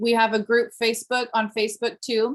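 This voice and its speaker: An ordinary speaking voice comes through at a moderate pace against a quiet background. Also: woman. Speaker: direct sales team leader. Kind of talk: team meeting announcements. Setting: video call.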